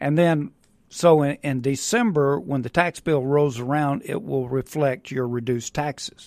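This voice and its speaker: Speaking fairly slowly with a Mississippi accent, a man uses ordinary pitch variation. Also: fairly high pitch for a man. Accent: Mississippi Southern. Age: 60s. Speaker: real estate investor. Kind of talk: radio interview. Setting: studio.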